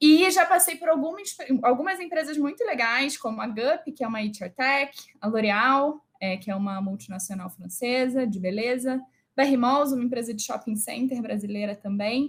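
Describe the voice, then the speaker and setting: With a Rio de Janeiro accent, a woman speaks at a moderate pace. Her pitch is high and her intonation lively. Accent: carioca (Rio de Janeiro). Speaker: HR director and speaker. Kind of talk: live online talk. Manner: animated.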